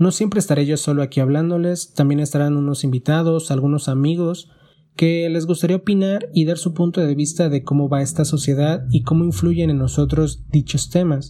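A man with a dark, mellow tone and a fairly high pitch speaks somewhat breathily at a moderate pace, his intonation fairly even and his loudness very even. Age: 20s. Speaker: podcast host, primary school teacher. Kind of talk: solo podcast monologue.

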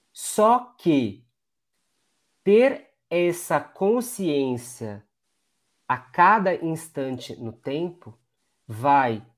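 A man's voice with very wide pitch swings. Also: very clean recording, silent background. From Brazil, Diadema (São Paulo ABC region). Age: 30s. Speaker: former dancer and neuroscientist. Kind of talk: interview conversation.

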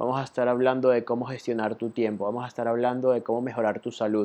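A man talks in a plain, everyday voice. His intonation stays fairly even. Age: 20s. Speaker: podcast host, web designer. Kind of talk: solo monologue podcast. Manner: casual, many fillers (eh, ¿ok?, ¿vale?).

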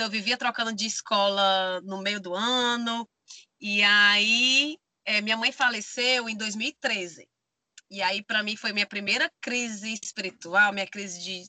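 A woman's unremarkable speaking voice, fairly high in pitch, with fairly even intonation and a fairly slow pace. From Brazil, Maranhão (Bacabal). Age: 30s. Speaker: van-life traveler and theater artist. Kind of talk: casual interview chat.

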